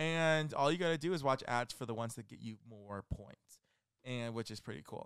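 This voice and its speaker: A man with an American accent and a normal speaking voice, moderate pace and big swings in loudness, on a very clean recording with a silent background. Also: medium pitch for a man, lively intonation. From Milpitas, California. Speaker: podcast guest co-host. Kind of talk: casual chat.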